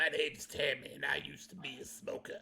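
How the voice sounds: A man uses a put-on character voice at a very fast pace. Background noise is clearly audible.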